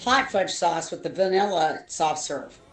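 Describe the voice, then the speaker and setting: There is music in the background as a woman talks with an American accent. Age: 60s. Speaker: streamer's mother, show co-host. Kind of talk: casual chat.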